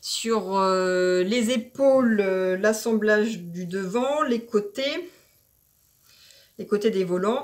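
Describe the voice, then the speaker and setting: A woman speaks with lively intonation. Her pitch sits fairly high for a woman. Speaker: sewing vlogger. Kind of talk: tutorial. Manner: hesitant with fillers.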